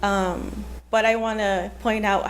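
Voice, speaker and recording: A Spanish accent with audible room echo. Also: woman. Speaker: library staff member speaking at public comment. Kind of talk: public comment at city meeting.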